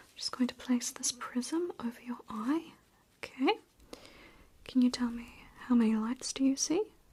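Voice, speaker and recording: Over noticeable background noise, the voice moves at a fairly slow pace with lively intonation, big swings in loudness, and long, frequent pauses. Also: woman, high pitch for a woman. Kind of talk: ASMR roleplay. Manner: soft-spoken, soothing, whispered.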